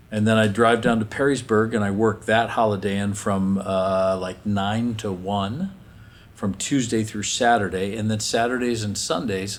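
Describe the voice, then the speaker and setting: Audible room echo surrounds a man speaking at a moderate pace, his pitch fairly low and his intonation fairly even. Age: 60s. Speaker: folk singer-songwriter. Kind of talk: interview.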